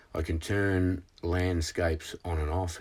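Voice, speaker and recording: In an Australian accent, a man with a very deep, low pitch speaks at a very slow pace in a somewhat breathy, monotone, flat voice on a very clean recording with a silent background. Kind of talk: screen-share tutorial talk. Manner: halting, many fillers.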